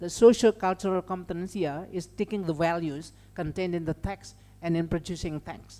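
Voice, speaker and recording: Speaking at a moderate pace, a woman with a slight Indonesian accent has a fairly low pitch and a dark, mellow tone. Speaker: lecturer. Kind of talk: lecture. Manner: halting, many fillers.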